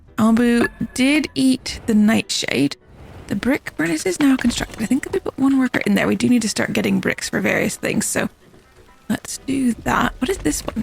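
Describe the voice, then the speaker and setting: A speaker with a British accent talks at a moderate pace with very wide pitch swings. The sound is dry and close with no echo, with music in the background. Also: woman, fairly high pitch for a woman. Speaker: gaming youtuber. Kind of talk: let's play commentary. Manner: casual, chatty.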